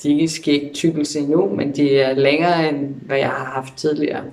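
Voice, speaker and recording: Moderately paced, fairly even speech in a man's fairly high pitch. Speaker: vlogger. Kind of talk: video diary update. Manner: hesitant with fillers.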